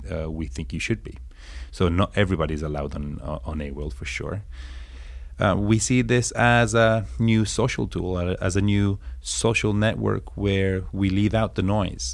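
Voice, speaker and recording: The voice swings very widely in pitch while keeping a moderate pace. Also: man. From northern Italy, raised there from age six; born in England. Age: 30s. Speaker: startup founder. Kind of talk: interview conversation.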